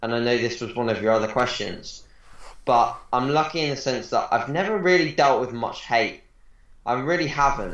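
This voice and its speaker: Lively intonation from a man at a medium pitch, with audible room echo. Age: 20s. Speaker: bodybuilding coach. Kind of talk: casual interview.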